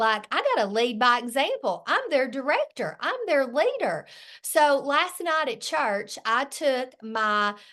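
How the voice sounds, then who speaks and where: A woman's very slow speech is heard against quiet surroundings. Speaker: direct sales director. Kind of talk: sales training talk. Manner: animated.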